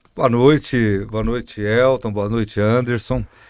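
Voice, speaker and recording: An unremarkable speaking voice moves at a moderate pace with fairly even intonation. The recording is very clean, with a silent background and a dry, close sound with no echo. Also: man. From Brazil, interior of São Paulo state. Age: 60s. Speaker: mayor and physician. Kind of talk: podcast interview.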